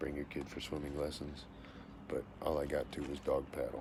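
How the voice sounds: Speaking at a moderate pace, a man with an extremely low pitch uses vocal fry.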